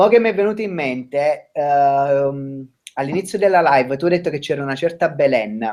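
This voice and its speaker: A man's fairly high voice with an Italian accent and lively intonation. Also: moderate pace. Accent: Italian accent when speaking English. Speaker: restaurant worker. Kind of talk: casual chat.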